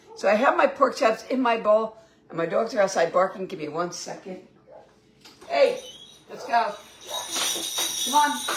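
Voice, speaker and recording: A woman's fairly high voice with lively intonation, amid noticeable background noise. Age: 60s. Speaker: home cooking vlogger. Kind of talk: casual cooking livestream.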